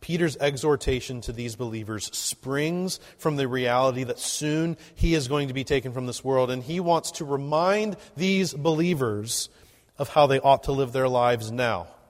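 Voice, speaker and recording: This man has an ordinary speaking voice, fairly high in pitch, with ordinary pitch variation. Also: moderate pace. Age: 30s. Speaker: pastor. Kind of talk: sermon.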